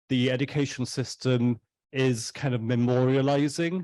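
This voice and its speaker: Over a quiet background, a man with a Welsh accent speaks fairly slowly at a medium pitch in a flat monotone. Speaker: artist on panel. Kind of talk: panel discussion. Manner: halting.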